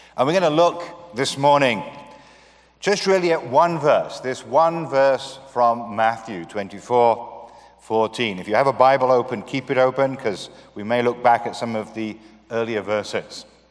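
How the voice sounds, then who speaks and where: A man talks with ordinary pitch variation. Noticeable background noise is present. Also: medium pitch for a man, moderate pace. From UK. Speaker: missionary and guest speaker. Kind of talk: sermon. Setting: church.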